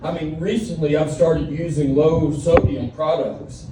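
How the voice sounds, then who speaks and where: A man's fairly high voice with a Southern US accent, audible room echo and noticeable background noise. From Alabama. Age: 40s. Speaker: comedian. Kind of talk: stand-up. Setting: stage with audience. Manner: animated.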